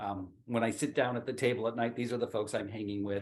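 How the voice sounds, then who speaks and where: A man's ordinary speaking voice at medium pitch with fairly even intonation. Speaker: teacher, podcast guest. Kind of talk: interview answer.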